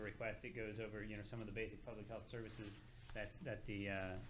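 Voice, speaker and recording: A man speaks with a fairly low pitch and a bright, sharp tone. Room echo is audible. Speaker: public health administrator. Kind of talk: public meeting presentation. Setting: city council meeting. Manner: halting, many fillers and repetitions.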